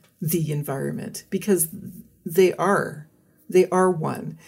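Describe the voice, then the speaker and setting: A woman with a Canadian accent sounds somewhat breathy. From British Columbia, Canada. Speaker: forest ecologist. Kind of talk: interview.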